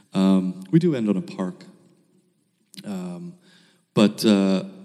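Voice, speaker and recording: This is a man speaking. He has an American accent. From US, Baltimore. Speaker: filmmaker. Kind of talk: interview.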